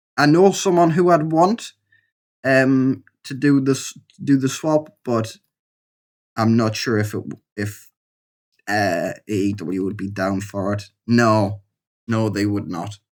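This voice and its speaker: In a very clean recording with a silent background, a man with a Geordie accent and medium pitch speaks very slowly with lively intonation and long, frequent pauses. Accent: Geordie (Newcastle). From northern England, Newcastle. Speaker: gaming YouTuber. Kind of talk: let's play commentary. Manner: casual, hesitant with fillers.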